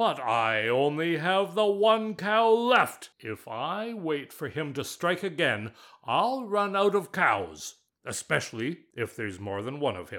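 A put-on character voice moves through very wide pitch swings at a fairly slow pace. The recording is very clean, with a silent background. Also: man, high pitch for a man. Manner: indignant, exasperated.

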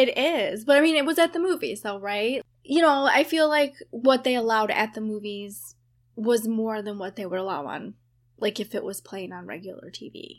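A woman speaks in an unremarkable speaking voice at a fairly high pitch. Her intonation is lively, and her loudness swings widely. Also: moderate pace. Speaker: paranormal podcast co-host. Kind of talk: casual chat.

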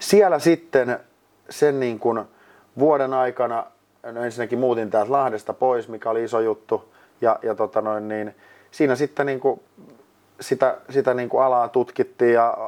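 An ordinary speaking voice from a man, medium in pitch, moderate in pace, with fairly even intonation. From Finland, Lahti. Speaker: ice hockey studio host and producer. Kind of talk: casual interview. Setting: mini studio.

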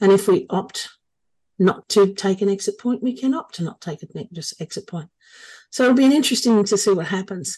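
Against a quiet background, a woman speaks at medium pitch with a dark, mellow tone. Her voice is somewhat breathy, with big swings in loudness. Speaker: podcast host. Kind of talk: podcast interview.

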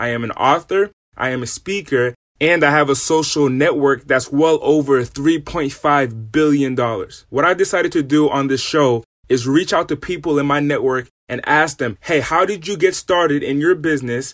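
A man's fairly high, energetic, enthusiastic voice with ordinary pitch variation at a moderate pace, on a very clean recording with a silent background. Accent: American. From US East Coast, Rhode Island. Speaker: podcast host, business speaker. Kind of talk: scripted podcast introduction monologue.

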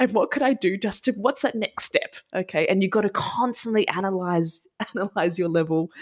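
This woman speaks at a fairly quick pace in a medium pitch, with an Australian accent. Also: ordinary pitch variation, very even loudness. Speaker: high school French teacher. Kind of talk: casual interview chat.

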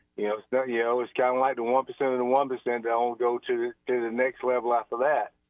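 At a fairly quick pace, a man speaks in an unremarkable speaking voice with medium pitch. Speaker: state athletic association executive director. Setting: phone call.

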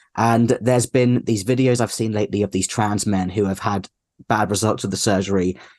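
A man speaks in a British accent at a fairly quick pace. His pitch is fairly low. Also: fairly even intonation, very even loudness. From UK. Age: 30s. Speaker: activist. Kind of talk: interview.

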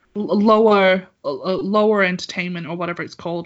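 A woman with an English accent speaks at a fairly quick pace in a medium pitch. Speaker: podcast co-host. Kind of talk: casual chat.

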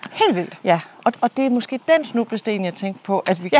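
A woman's fairly high pitch and lively intonation at a fairly slow pace, dry and close with no echo, amid noticeable background noise. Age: 40s. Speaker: podcast host and leadership coach. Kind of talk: casual chat. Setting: outdoors.

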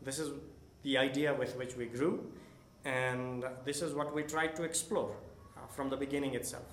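Amid noticeable background noise and audible room echo, a moderate-paced voice speaks with monotone, flat intonation and long, frequent pauses. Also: man, fairly high pitch for a man. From Nepal. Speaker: school principal. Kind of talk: interview.

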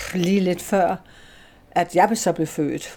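A woman with a dark, mellow tone speaks at a medium pitch and a very slow pace with fairly even intonation, in a very clean recording with a silent background. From Denmark, Slagelse. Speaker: spiritualist medium. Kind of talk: interview. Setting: church room, window open.

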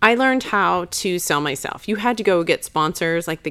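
A woman with a fairly low pitch and vocal fry uses lively intonation on a very clean recording with a silent background. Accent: American. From Chicago, US Midwest. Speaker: makeup company co-founder. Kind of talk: casual interview.

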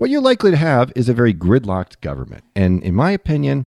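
Recorded with a dry, close sound and no echo, a man with a dark, mellow tone speaks at a fairly quick pace. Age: 50s. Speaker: financial advisor. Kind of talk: casual chat. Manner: halting.

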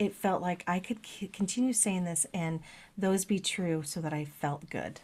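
Somewhat breathy, a woman speaks with a fairly low pitch, ordinary pitch variation and a moderate pace. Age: 50s. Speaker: podcast co-host, lightworker. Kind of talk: casual chat.

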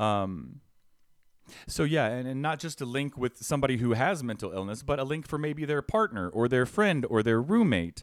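A man speaks loudly at a moderate pace and medium pitch, with very wide pitch swings, on a very clean recording with a silent background. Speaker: housing advocate. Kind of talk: podcast interview, personal testimony. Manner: energetic, loud.

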